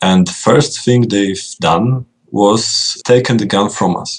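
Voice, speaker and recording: Speaking very slowly with a Polish accent, a man keeps a fairly low pitch and ordinary pitch variation. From Poland. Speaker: video game designer. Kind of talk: interview.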